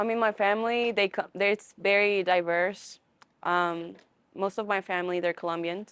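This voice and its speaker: In an American accent, a woman speaks at a medium pitch with flat, monotone intonation. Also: moderate pace. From US. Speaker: college student. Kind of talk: interview.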